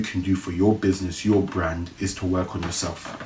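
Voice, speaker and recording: Very deep and low in pitch, a man speaks at a fairly slow pace. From London (Brixton). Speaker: podcast host. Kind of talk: casual solo podcast talk. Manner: repetitive, self-correcting.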